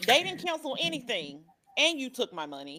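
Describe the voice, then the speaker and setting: Very wide pitch swings run through this woman's voice. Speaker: podcast co-host. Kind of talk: casual chat. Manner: loud.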